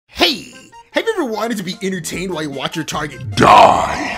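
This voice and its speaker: A cartoonish character voice at a middle pitch speaks over music in the background. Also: fairly quick pace. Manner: loud, excited, boastful.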